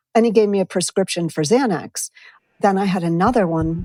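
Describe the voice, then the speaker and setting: A woman with an unremarkable speaking voice talks at a moderate pace and a fairly low pitch, with ordinary pitch variation. The recording is very clean, dry and close, with no echo and a silent background. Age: 60s. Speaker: writer sharing personal experience with medication. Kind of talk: personal testimony interview.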